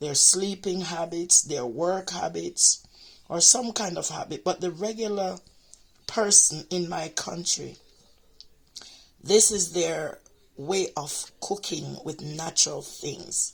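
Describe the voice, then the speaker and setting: With vocal fry and a fairly low pitch, a woman talks at a very slow pace. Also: ordinary pitch variation. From Jamaica. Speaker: home cooking and health vlogger. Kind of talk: casual talk-to-camera explainer.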